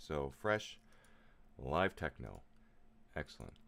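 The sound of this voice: Slow and extremely low in pitch, a man speaks with vocal fry.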